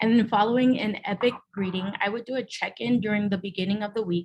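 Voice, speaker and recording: A woman's fairly high, somewhat breathy voice carries ordinary pitch variation. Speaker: teacher. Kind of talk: presentation. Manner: halting.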